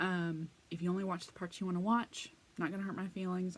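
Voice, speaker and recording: A woman's fairly low voice with an American accent and monotone, flat intonation. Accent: occasional slow Texas drawl. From Texas. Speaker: crafting vlogger; craft channel vlogger. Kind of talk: casual vlog monologue; casual vlog chat. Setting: home crafting room. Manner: hesitant, many fillers. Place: home room. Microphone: phone near.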